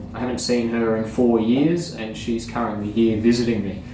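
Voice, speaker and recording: Over noticeable background noise and audible room echo, a man with an Australian accent speaks at a moderate pace with a medium pitch. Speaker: surfboard repair YouTuber. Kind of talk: casual vlog update. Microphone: no microphone, poor audio.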